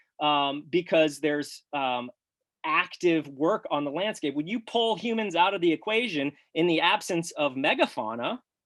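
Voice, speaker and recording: A man's fairly high voice with lively intonation and an animated tone. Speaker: farmer and grazing researcher. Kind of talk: webinar presentation. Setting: live webinar. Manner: fast.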